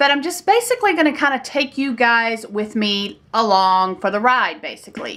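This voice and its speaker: Very wide pitch swings mark a voice with a Southern US accent in a very clean recording with a silent background. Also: woman. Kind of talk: casual talk to camera.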